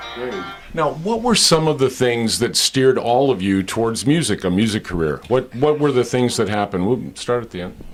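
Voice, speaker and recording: A man with lively intonation and a mid-range pitch talks as music plays in the background. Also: moderate pace. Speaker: voice actor. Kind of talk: TV host interview.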